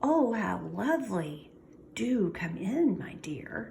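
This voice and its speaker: In a put-on character voice, a female-sounding speaker talks very slowly and croakily at a medium pitch for a woman. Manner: sweet, feigned.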